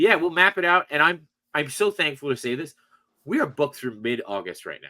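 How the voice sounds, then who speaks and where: A man's fairly high, bright, sharp voice at a fairly quick pace, with lively intonation, vocal fry and big swings in loudness. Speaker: toy collector and podcast host. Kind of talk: casual chat. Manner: fast.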